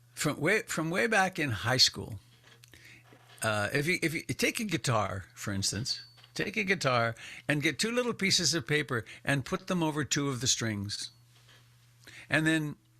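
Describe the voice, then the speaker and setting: With a bright, sharp tone and very wide pitch swings, a man talks at a fairly slow pace, with long, frequent pauses. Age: 70s. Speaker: meditation teacher. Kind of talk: dharma talk. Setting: video call.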